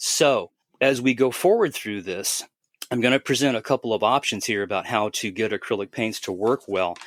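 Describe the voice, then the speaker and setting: An ordinary speaking voice from a man at medium pitch comes at a moderate pace with ordinary pitch variation, in a dry, close sound with no echo and a very clean recording with a silent background. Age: 60s. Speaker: airbrushing expert guest on a podcast. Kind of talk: casual explanatory podcast talk. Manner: conversational, with frequent repetitions and fillers.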